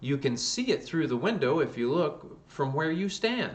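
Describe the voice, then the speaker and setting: A man uses a put-on character voice that is hoarse and fairly high in pitch. He talks at a moderate pace. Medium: read story. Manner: gruff, rambling.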